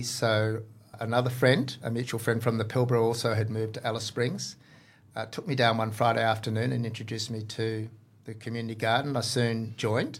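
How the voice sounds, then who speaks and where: In an Australian accent, a man speaks at a very fast pace with medium pitch and monotone, flat intonation. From Western Australia (Exmouth). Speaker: farmer and garden enthusiast, former chef. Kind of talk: casual interview.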